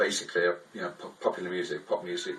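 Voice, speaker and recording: A man with an English accent talks at a very fast pace over noticeable background noise. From England, Liverpool. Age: 60s. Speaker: artist. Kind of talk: interview. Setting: art studio. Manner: halting, many fillers.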